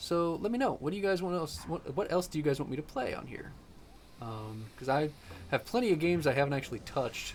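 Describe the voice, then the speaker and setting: A man's very fast delivery with lively intonation. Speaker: gaming youtuber. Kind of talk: gameplay commentary. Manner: casual, rambling with fillers.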